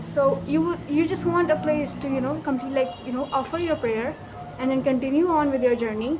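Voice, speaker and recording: In a Pakistani accent, a woman speaks in a high pitch, with audible room echo and noticeable background noise. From Pakistan, Karachi. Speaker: vlogger. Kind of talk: casual vlog monologue. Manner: animated.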